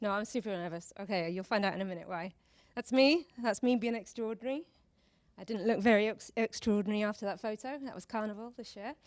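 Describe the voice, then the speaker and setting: Speaking very fast, a woman has a British accent and a fairly high pitch. Her voice is shaky. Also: ordinary pitch variation. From Britain. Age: 40s. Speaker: speaker at a talk event. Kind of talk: public talk. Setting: stage with audience.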